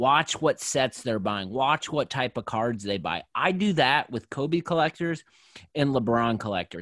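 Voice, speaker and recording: A man's plain, everyday voice, medium-pitched with lively intonation at a fairly slow pace, dry and close with no echo on a very clean recording against a silent background. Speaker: sports card collector and podcast host. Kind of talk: casual interview.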